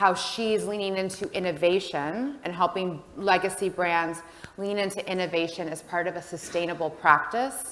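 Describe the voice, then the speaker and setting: A woman's fairly low voice with an American accent, at a moderate pace and with fairly even intonation, amid noticeable background noise and audible room echo. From United States. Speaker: panel moderator. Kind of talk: panel discussion moderation. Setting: stage with audience. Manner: loud.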